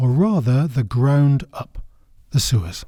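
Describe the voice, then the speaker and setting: A man with a northern English accent speaks at a medium pitch with lively intonation. His tone is dark and mellow, and somewhat breathy. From northern England. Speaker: podcast host, history guide. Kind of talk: scripted narration.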